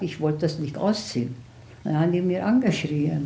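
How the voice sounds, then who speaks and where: A woman speaks at a fairly low pitch with a dark, mellow tone and a somewhat breathy quality. Her pitch varies in an ordinary way, and the room echo is audible. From Hungary, Budapest. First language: Hungarian (speaking German). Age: 90s. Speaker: Holocaust survivor. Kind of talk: interview testimony. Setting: at home.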